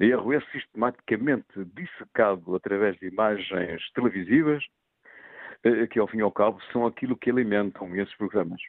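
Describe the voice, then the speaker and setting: A man talks in a normal speaking voice at a fairly low pitch. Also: ordinary pitch variation, moderate pace. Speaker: sports disciplinary official. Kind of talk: radio phone-in debate. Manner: formal.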